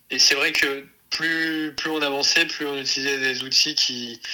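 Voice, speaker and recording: This man's voice sits at a fairly high pitch. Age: 20s. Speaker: entrepreneur, co-founder of an outdoor activities company for children. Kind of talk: interview. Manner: halting, many fillers and repetitions.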